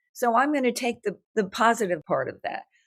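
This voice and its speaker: A woman with a New York accent at a moderate pace, her pitch swinging very widely. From New York, Brooklyn. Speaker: writer and artist. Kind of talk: interview conversation. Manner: animated.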